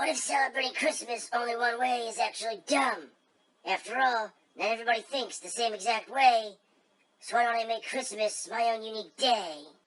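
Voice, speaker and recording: This female-sounding voice is a put-on character voice with a fairly high pitch. It moves at a fairly quick pace. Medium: read story. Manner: grumbling, sneering.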